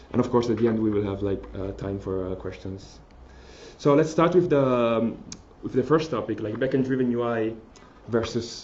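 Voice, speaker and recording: The recording carries audible room echo. A man speaks at a moderate pace with medium pitch and ordinary pitch variation. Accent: strong Italian. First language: Italian. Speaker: mobile developer. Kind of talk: conference talk. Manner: halting, many fillers and restarts.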